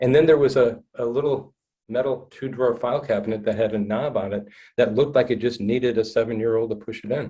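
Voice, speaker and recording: A man speaks at a very fast pace with fairly even intonation. His tone is dark and mellow, and somewhat breathy. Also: medium pitch for a man. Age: 60s. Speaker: trauma-informed counselor. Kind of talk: podcast interview, personal story. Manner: halting, repeats words.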